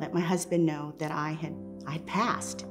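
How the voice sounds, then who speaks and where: A woman talks fairly slowly with an American accent. Music is clearly audible in the background. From Texas, USA. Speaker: storyteller. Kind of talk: personal storytelling, first-person narration. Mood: reflective, earnest. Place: home room. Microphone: lapel.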